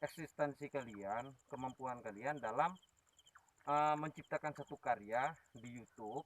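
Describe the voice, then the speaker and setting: A man with an Aceh accent, medium pitch, ordinary pitch variation, big swings in loudness and a fairly slow pace, in a dry, close sound with no echo. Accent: Acehnese-accented Indonesian. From Aceh, Indonesia. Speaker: ghost-hunting YouTuber. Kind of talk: live stream chat. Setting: outdoors at old radio tower at night.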